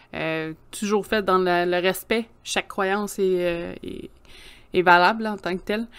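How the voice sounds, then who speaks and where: A woman's very slow, monotone, flat delivery in a Quebec accent, on a very clean recording with a silent background. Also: medium pitch for a woman. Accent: Québécois French. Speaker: podcast co-host. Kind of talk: casual chat.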